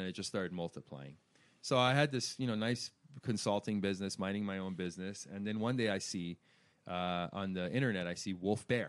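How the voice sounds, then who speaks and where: A man speaks fairly quickly with an American accent in a plain, everyday voice. His pitch is fairly low with ordinary variation. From Iran, raised in Washington DC/Virginia area. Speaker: hair industry brand manager. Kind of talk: interview. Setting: salon.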